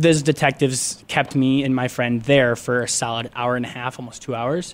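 This man has an unremarkable speaking voice at a medium pitch. He talks at a moderate pace with fairly even intonation. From Michigan, US Midwest (Grand Rapids). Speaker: media production assistant. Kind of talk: casual chat, personal storytelling. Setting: radio studio.

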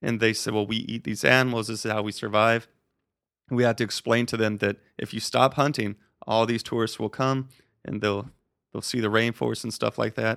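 With an American accent, a man at a medium pitch talks at a fairly quick pace in monotone, flat intonation, in a dry, close sound with no echo on a very clean recording with a silent background. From Colorado. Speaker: wildlife photographer. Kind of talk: interview.

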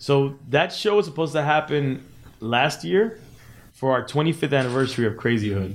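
A man with an unremarkable speaking voice, a fairly high pitch, lively intonation and a fairly quick pace. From Miami (Cuban American, early childhood in LA). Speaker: DJ and podcast host. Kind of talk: casual interview chat. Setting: studio.

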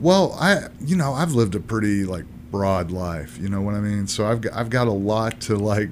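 Fairly low in pitch, a man speaks at a moderate pace with lively intonation and hardly any pauses, in audible room echo. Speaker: multimedia artist and comedian. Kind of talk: casual chat.

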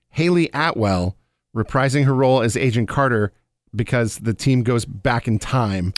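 A normal speaking voice, this man talks at a moderate pace and medium pitch with lively intonation, captured in a very clean recording with a silent background. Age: 40s. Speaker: podcast co-host. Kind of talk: casual chat.

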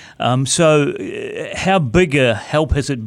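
The man speaks with a New Zealand accent and ordinary pitch variation. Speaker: golf podcast host. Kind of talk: interview. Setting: studio.

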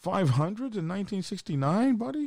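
With an American accent, a man speaks at a high pitch that swings very widely. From Oklahoma. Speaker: biker channel host. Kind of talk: late-night livestream chat. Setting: live stream. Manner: casual, frequent filler words.

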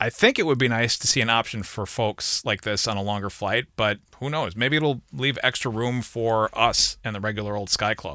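This is a normal speaking voice with ordinary pitch variation at a moderate pace, with hardly any pauses. The recording is very clean, with a silent background. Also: man, medium pitch for a man. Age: 40s. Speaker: travel podcast host. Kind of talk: casual chat.

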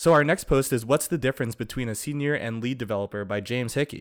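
Speaking at a fairly quick pace, a man uses a normal speaking voice at a medium pitch. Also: very clean recording, silent background. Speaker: podcast co-host. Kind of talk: casual chat. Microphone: close to the mic, good sound.

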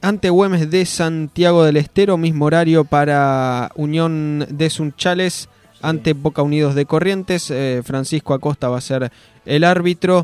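Dry and close with no echo, this recording has a man speaking at a fairly slow pace in a normal speaking voice. His pitch is fairly high, with fairly even intonation. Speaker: sports radio co-host. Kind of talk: sports radio talk show.

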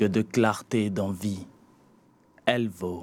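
With fairly even intonation, a man talks very slowly. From Benin. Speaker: slam poet. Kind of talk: slam performance; radio interview. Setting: radio studio.

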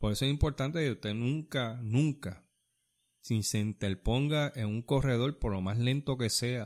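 A man with a normal speaking voice, medium pitch and ordinary pitch variation at a fairly slow pace, in a very clean recording with a silent background. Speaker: podcast co-host and runner. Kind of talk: casual chat. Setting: studio.

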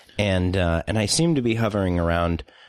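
This man's pitch is very deep and low. He talks at a moderate pace in a playful tone. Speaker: movie review podcast co-host. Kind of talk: casual comedic review chat. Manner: joking, playful.

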